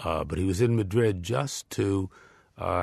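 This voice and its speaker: A man with a New York accent speaks at a fairly slow pace. His intonation is lively, and the background is quiet. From New York area. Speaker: former diplomat and author. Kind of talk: interview. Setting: studio. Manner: hesitant, many fillers.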